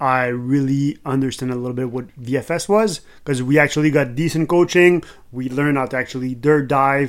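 A man speaks with a Quebec accent. His pitch sits fairly high. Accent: Québécois French accent in English. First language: French. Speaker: podcast host, skydiver. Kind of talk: casual chat; scripted narration.

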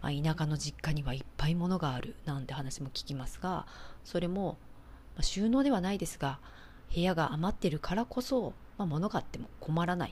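Vocal fry marks a woman's very deep, low voice, which has lively intonation. She speaks at a moderate pace. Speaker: architect and home organizing expert, podcast host. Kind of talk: solo podcast talk.

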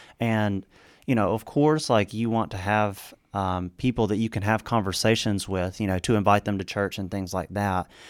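On a very clean recording with a silent background, a man talks at a moderate pace. He has a plain, everyday voice with a fairly low pitch and fairly even intonation. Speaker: co-host of a Bible discussion podcast. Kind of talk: casual Bible study discussion.

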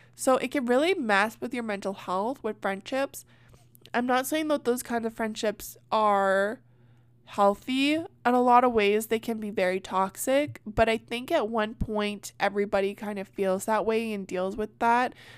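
On a very clean recording with a silent background, a woman speaks in an animated tone at a fairly high pitch, keeping a moderate pace and ordinary pitch variation. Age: 20s. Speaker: comedy podcast host. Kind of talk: casual chat.

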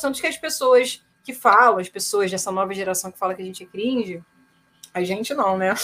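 A woman's voice with very wide pitch swings. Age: 30s. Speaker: rock singer and producer. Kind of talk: casual chat.

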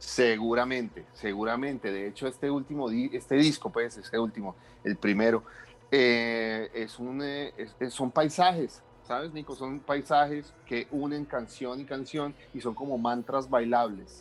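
At medium pitch and a fairly slow pace, a man speaks in a normal speaking voice with ordinary pitch variation. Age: 30s. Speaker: electronic musician. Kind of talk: interview.

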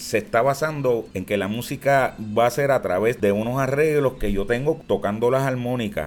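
A normal speaking voice from a man, medium in pitch, with lively intonation and a moderate pace. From Puerto Rico, Barrio Obrero, San Juan. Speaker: plena singer. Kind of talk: casual interview.

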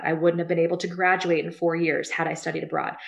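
Someone speaks with a Midwestern US accent over noticeable background noise. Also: woman. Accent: US Midwest. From Ohio, Cincinnati area. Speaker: career center director. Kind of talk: interview.

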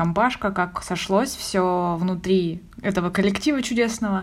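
A woman speaks at medium pitch and a moderate pace. She has a plain, everyday voice with ordinary pitch variation. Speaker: podcast co-host. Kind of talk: casual chat.

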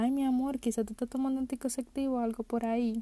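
A woman's high-pitched voice with a dark, mellow tone at a very fast pace, dry and close with no echo. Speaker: podcast host. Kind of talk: casual monologue. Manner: animated.

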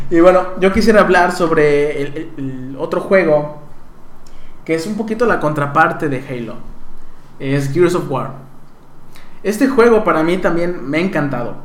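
In a Mexico City accent, a man with a high voice talks at a moderate pace with lively intonation, and audible room echo surrounds him. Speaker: podcast co-host. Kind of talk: casual chat.

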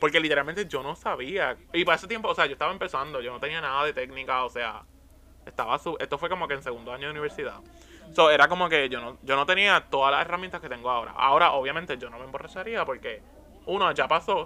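A man's fairly high voice at a very fast pace, with ordinary pitch variation and big swings in loudness. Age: 20s. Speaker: actor. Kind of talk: casual chat.

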